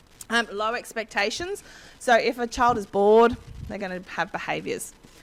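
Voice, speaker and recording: This woman has a fairly high pitch and an Australian accent. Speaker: education consultant. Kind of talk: presentation. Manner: fast; halting.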